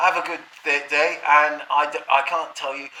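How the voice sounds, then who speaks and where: Fairly slow male speech with noticeable noise behind it. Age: 60s. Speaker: vlogger. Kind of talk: casual monologue. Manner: halting.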